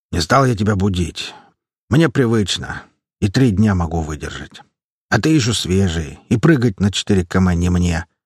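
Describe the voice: Someone reads plainly aloud, with little sound behind them.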